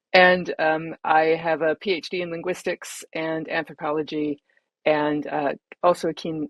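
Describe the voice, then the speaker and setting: A woman talks with a North American accent in a very deep, low pitch. Her intonation is monotone and flat. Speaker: head of user experience. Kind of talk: panel webinar introduction. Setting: online video call.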